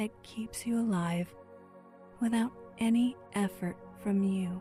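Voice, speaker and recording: Over music in the background, a woman with a medium pitch speaks at a very slow pace. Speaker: meditation guide. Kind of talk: guided meditation. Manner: slow, calm.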